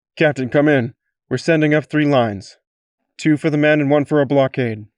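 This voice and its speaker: This man puts on a character voice at a fairly high pitch, talking at a fairly quick pace. His intonation stays fairly even and his loudness very even. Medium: read story. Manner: clipped, businesslike.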